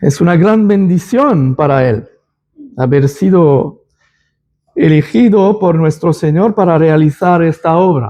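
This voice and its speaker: A man speaks very slowly in a high voice with lively intonation and very even loudness. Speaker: lay preacher. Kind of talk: church announcement and Bible study. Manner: halting, with self-corrections.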